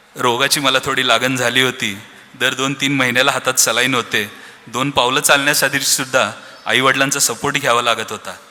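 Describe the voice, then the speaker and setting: A man of medium pitch speaks in a monotone, flat way, with noticeable background noise around him. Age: 30s. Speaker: business owner, founder's son. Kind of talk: speech at family celebration.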